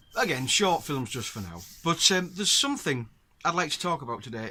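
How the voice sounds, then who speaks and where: In a northern English accent, a man speaks at a fairly quick pace with a bright, sharp tone and very wide pitch swings, on a very clean recording with a silent background. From northern England. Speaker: outdoors vlogger and angler. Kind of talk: casual talk to camera. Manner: halting with fillers.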